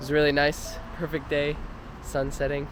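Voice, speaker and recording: Noticeable background noise runs through the clip as the speaker keeps a moderate pace. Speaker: travel vlogger. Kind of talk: travel vlog narration. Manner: soft-spoken.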